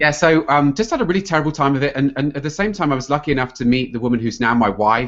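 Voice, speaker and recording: A man with a British accent speaks with ordinary pitch variation. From England. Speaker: health coach and computer scientist. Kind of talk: podcast interview.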